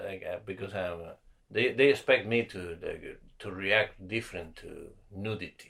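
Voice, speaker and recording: A man with a non-native accent, at a moderate pace. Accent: foreign. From South America (Argentina/Ecuador). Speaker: comedian. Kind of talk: casual chat.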